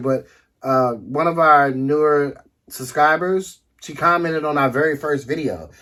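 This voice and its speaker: Recorded very cleanly against a silent background, a man with a DC accent speaks at a fairly high pitch with ordinary pitch variation. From Washington DC area. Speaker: couple vlogger, travel channel co-host. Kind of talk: casual chat.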